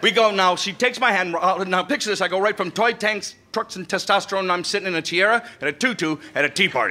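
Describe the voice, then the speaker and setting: The voice is raised and projected, moving at a very fast pace with hardly any pauses. Noticeable background noise runs underneath. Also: man, high pitch for a man, ordinary pitch variation. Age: 60s. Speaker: comedian. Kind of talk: stand-up. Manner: animated storytelling.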